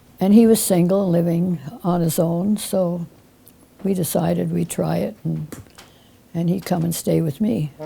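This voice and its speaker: A woman with a fairly low pitch, a dark, mellow tone and a somewhat breathy quality. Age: 90s. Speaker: musician. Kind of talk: interview testimony.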